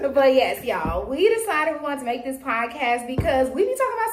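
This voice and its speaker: A woman's high voice with very wide pitch swings, music in the background. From Louisiana, small town. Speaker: podcast co-host. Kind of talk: casual chat. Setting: podcast recorded on camera.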